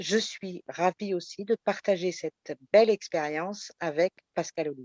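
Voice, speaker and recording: This is a woman with an unremarkable speaking voice, at a medium pitch and a fairly slow pace. Her pitch varies in an ordinary way, and the sound is dry and close with no echo. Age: 50s. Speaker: election candidate. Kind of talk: self-introduction.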